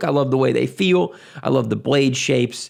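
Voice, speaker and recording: In a strong Southern US accent, this speaker talks at a moderate pace with vocal fry. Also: man. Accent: thick Southern US. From US South. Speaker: gun and knife YouTuber. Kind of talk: Q&A answering patron questions. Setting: at his desk. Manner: casual, halting with many fillers.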